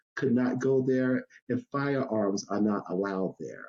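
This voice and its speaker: An American accent marks this man's dark, mellow voice. He speaks fairly slowly, with ordinary pitch variation. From US South, North Carolina Sandhills. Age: 60s. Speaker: Navy veteran and street vending advocate. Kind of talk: podcast interview.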